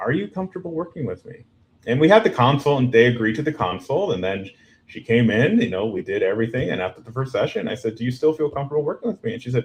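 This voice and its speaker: At a very fast pace, a man speaks at medium pitch, somewhat breathy. His pitch swings very widely and his loudness swings a lot. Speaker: marriage and family therapist. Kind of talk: podcast interview. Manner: direct.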